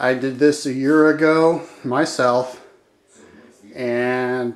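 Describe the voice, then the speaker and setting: The man speaks in a monotone, with flat intonation. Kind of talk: casual home tour commentary. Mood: proud, mildly defensive. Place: bathroom. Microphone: phone near.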